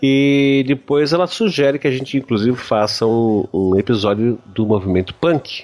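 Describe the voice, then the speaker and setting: A plain, everyday voice from a man at a medium pitch, moderate in pace with ordinary pitch variation, very even loudness and hardly any pauses. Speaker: podcast host. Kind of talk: casual chat.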